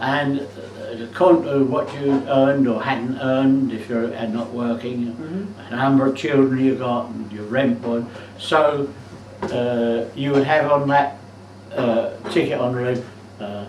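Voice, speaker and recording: A man with a London accent talks at a fairly slow pace in a fairly even tone over noticeable background noise. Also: medium pitch for a man. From South East London. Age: 80s+. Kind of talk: casual reminiscing at home. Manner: hesitant, slow.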